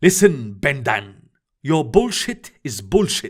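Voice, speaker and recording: A put-on character voice with very wide pitch swings and hissing moves along at a fairly slow pace. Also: man. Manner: venomous, threatening.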